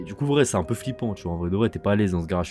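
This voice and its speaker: Over music in the background, a man with a very deep, low pitch speaks with lively intonation. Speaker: YouTuber. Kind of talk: storytime. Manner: calmer voice than usual; halting, many fillers.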